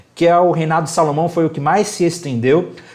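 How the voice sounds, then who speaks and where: The man's voice carries audible echo from the room. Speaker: bible teacher. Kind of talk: lecture. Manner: fast; animated.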